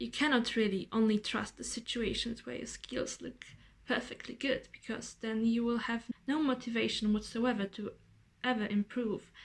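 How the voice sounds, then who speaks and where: A woman with a Polish accent, fairly high in pitch, at a moderate pace with monotone, flat intonation. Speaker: vlogger. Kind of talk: casual vlog monologue. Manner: rambling.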